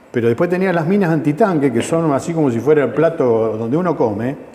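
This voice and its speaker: Over noticeable background noise, a man talks very fast at a fairly high pitch with very wide pitch swings. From Argentina, Mendoza. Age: 60s. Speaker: war veteran. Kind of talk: testimony interview. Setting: veterans' center.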